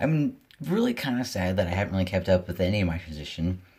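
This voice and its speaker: A man with a very deep, low pitch, somewhat breathy, at a fairly quick pace with ordinary pitch variation. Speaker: vlogger. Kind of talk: casual vlog. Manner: fast.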